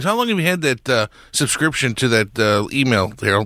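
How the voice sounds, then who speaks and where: This man's tone is bright and sharp at a medium pitch. He speaks at a very fast pace. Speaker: tech support expert. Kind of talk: radio troubleshooting.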